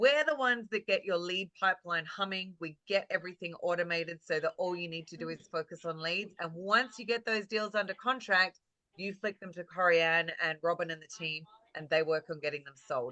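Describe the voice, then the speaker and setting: Lively intonation and big swings in loudness mark this bright, sharp voice with an Australian accent, delivered at a moderate pace with a dry, close sound and no echo. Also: woman. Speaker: real estate marketing coach. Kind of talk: webinar presentation. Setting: video call. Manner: animated.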